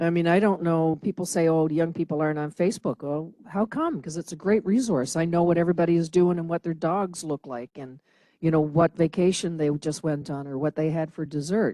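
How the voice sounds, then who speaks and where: A woman speaks at a fairly quick pace with hardly any pauses, her tone dark and mellow at a fairly low pitch. The sound is dry and close with no echo, over a quiet background. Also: ordinary pitch variation. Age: 60s. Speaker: feminist activist. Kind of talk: panel discussion.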